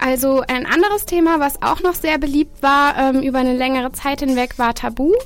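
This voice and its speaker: Her pitch is high and her pitch variation ordinary. The woman speaks at a fairly quick pace with hardly any pauses. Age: 20s. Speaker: student event organiser. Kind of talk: radio interview. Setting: radio studio.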